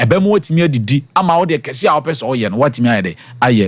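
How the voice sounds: A man at medium pitch, talking fast with big swings in pitch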